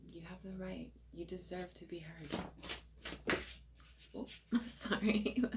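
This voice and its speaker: A soft-spoken woman at a very slow pace, with big swings in loudness and long, frequent pauses. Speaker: tarot card reader. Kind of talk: tarot reading. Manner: casual, with many fillers.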